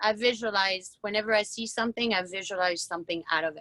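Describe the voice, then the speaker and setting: Speaking with a French accent, a woman uses a fairly high pitch and ordinary pitch variation. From France. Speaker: woodturner. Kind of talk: interview on a live video event. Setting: video call. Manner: halting.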